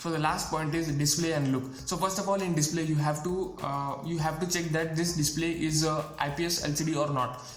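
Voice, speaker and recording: Fairly quick and with hardly any pauses, the voice stays monotone and flat at a very even loudness, with noticeable background noise and audible room echo. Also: man, fairly high pitch for a man. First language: not English. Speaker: tech youtuber. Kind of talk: tutorial. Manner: halting, many fillers and repeats.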